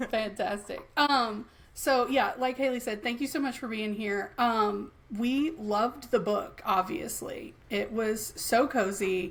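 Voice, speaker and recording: A woman's fairly high voice in an American accent, fairly slow, with ordinary pitch variation. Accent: Southern US, thicker late at night. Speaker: podcast co-host. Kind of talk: casual chat.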